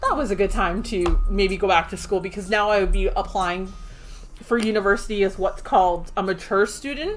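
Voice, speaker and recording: A woman with a Canadian accent at a medium pitch, fairly quick pace and fairly even intonation, with music in the background. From Ontario, Canada (small town near Toronto). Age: 30s. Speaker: game streamer. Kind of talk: casual chat.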